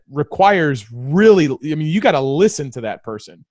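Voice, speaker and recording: With an American accent and a plain, everyday voice, a man speaks at a fairly high pitch and moderate pace with lively intonation, in a dry, close sound with no echo. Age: 30s. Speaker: combat veteran and restaurant owner. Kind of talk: casual chat. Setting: video call.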